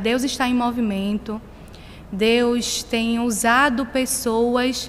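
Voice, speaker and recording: In a Pernambuco accent, a woman speaks with fairly even intonation. Her pitch is high. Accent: Northeastern Brazilian (Pernambuco). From Brazil, Pernambuco (small town of Pombos). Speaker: missionary. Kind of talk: sermon. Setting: church.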